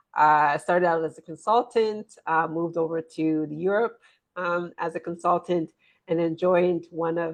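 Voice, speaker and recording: Here is a woman with a plain, everyday voice, fairly low in pitch. She keeps a moderate pace and fairly even intonation. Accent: American. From US, rural Pennsylvania. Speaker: business consultant and author. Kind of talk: interview.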